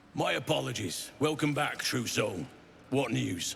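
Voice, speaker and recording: Over clear background noise, a man puts on a raspy character voice at medium pitch and a moderate pace. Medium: video game.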